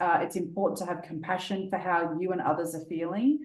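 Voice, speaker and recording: A woman with an Australian accent speaks at a fairly quick pace with ordinary pitch variation. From Australia, Sydney. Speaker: business coach. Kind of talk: interview. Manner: fast.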